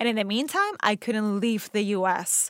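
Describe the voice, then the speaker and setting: A woman speaks in a Spanish accent at a fairly high pitch. The recording is very clean with a silent background. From Venezuela. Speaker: actor. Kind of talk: interview conversation.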